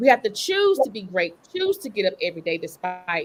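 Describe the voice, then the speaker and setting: With a Southern US accent, a woman speaks in an animated tone. Her pitch swings very widely. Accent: Southern drawl. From Eastern North Carolina. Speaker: lawyer and author. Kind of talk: panel discussion.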